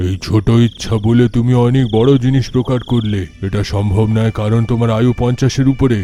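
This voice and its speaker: Doing a put-on character voice, a man talks at a moderate pace and medium pitch with fairly even intonation over clear background noise. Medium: audio drama. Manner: laughing, commanding.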